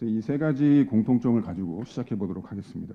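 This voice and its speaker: Pitched at a medium level, a man's speech rushes along very fast. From South Korea. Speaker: accounting advisory head, seminar speaker. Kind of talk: conference presentation. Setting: conference hall with audience. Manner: formal, with frequent filler hesitations.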